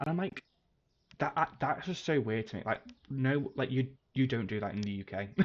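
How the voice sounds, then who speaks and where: A man with a British accent speaks at a moderate pace with ordinary pitch variation. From UK. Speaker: game streamer. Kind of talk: livestream gameplay commentary. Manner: casual, rambling with fillers.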